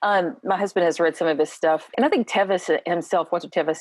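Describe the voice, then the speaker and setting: A woman's fairly low voice in an Appalachian accent, at a fairly quick pace with ordinary pitch variation. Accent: Appalachian Kentucky. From Eastern Kentucky. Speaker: educator. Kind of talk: casual chat.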